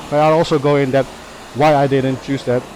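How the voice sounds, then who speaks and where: Noticeable background noise fills the recording. Over it, a man speaks with a Dutch accent. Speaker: motovlogger. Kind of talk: casual vlog talk. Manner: halting, many fillers.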